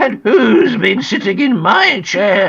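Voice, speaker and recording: A put-on character voice, raspy and fairly high in pitch, moves at a fairly slow pace with very wide pitch swings. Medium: read story.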